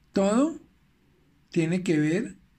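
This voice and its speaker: With a dark, mellow tone, a man speaks in a somewhat breathy voice. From Venezuela. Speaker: life coach. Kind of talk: recorded motivational talk.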